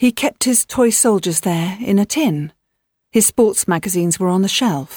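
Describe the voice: Plain reading aloud comes through with a quiet background.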